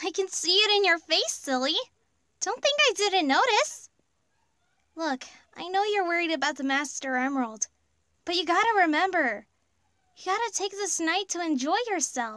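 A woman uses a put-on character voice with an extremely high pitch and a bright, sharp tone. Her intonation is lively, her pace moderate, and she takes long, frequent pauses.

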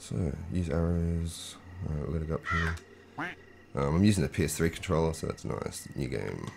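Long, frequent pauses break up a man's fairly quick speech, his pitch very deep and low. Noticeable background noise runs underneath. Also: ordinary pitch variation. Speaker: game streamer. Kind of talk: live gameplay commentary. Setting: live stream. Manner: casual, meandering.

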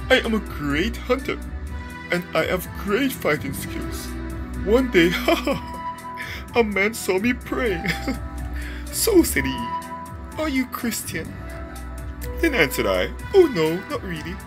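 A cartoonish character voice goes at a fairly slow pace over loud music in the background. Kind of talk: cartoon character voice. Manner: boastful, laughing, grandiose.

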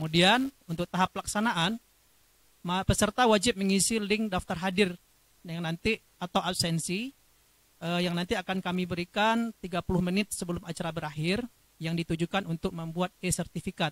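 A man talks at a moderate pace with a high pitch. The sound is dry, with no echo. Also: fairly even intonation. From Indonesia. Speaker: webinar co-moderator. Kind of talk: formal event moderating. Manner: formal. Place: studio. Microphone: handheld.

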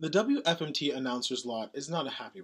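Moderate-paced speech from a man, quiet background. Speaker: radio announcer applicant. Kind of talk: radio announcer audition read. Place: home room. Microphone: webcam.

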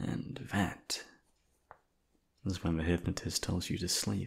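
Putting on a character voice, a man speaks slowly and quietly in a low, breathy tone with vocal fry, a husky, rough edge and little pitch movement.

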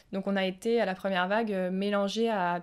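This woman's voice sits at a medium pitch, and her intonation is fairly even. Her recording is very clean, and the background is silent. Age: 20s. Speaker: nurse. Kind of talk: testimony. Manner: halting, with frequent fillers.

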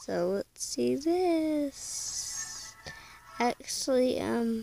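Music sounds in the background. The speaking is very slow. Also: woman. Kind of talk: casual reaction commentary. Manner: hesitant, many fillers.

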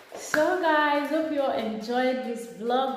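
A woman speaks at a slow pace with audible room echo. Clear music plays in the background.

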